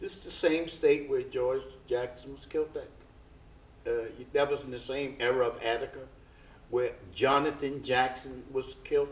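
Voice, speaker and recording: In a room with audible echo, a man speaks at a fairly high pitch and a moderate pace, leaving long, frequent pauses. His intonation is monotone and flat, while his loudness swings widely. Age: 70s. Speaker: prison uprising survivor. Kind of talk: panel discussion. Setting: stage with audience.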